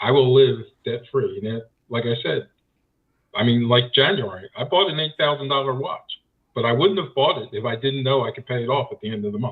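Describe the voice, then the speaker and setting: A man speaks at a fairly quick pace in a plain, everyday voice. His pitch is medium, with ordinary variation. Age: 60s. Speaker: guest seeking financial advice. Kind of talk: casual advice conversation.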